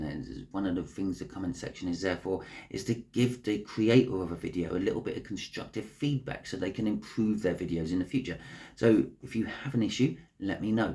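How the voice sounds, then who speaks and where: Speaking at a fairly quick pace, a man has a fairly low pitch, a dark, mellow tone, a somewhat breathy quality and ordinary pitch variation. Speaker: astrology tarot reader on a video channel. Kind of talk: casual direct address to viewers.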